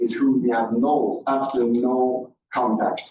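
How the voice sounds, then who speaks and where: In a non-native accent, the speaker goes at a fairly slow pace. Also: man. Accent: foreign. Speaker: member of the public speaking at a board meeting. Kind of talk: public comment at a meeting. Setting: board meeting room with audience.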